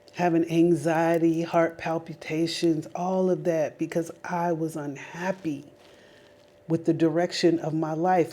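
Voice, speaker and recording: Animated in tone, a woman with an American accent talks at a fairly slow pace and fairly low pitch amid noticeable background noise. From Las Vegas, Nevada, US. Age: 40s. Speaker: lifestyle vlogger. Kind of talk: personal testimony monologue. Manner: animated, conversational.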